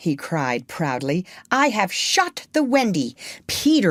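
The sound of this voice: A reading voice that is unforced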